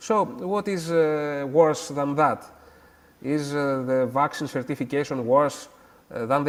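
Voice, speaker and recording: A man speaks in a Greek accent at a fairly slow pace. His pitch is fairly high and his intonation fairly even. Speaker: academic guest. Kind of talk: interview. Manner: halting, many hesitations.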